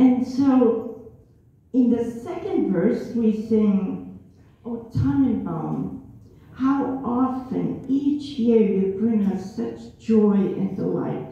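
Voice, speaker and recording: A woman speaks at a very slow pace with lively intonation. Noticeable background noise and audible room echo surround her voice. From Germany. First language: German. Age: 70s. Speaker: community show performer. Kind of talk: storytelling at a holiday show. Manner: halting.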